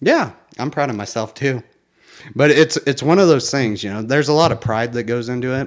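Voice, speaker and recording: With a normal speaking voice, a man talks at a fairly quick pace with ordinary pitch variation on a very clean recording with a silent background. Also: medium pitch for a man. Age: 30s. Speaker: podcast co-host and small business owner. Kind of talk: casual chat. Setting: co-host's home.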